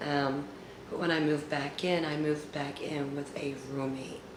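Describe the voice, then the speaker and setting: The speech moves at a moderate pace. There is noticeable background noise and audible room echo. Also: woman. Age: 40s. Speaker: YouTuber storyteller. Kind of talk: storytime monologue. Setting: at home. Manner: casual, with fillers.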